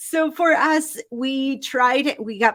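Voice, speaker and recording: A woman's voice with a slight Argentine accent. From Argentina. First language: Spanish. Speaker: life coach. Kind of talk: interview. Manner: animated.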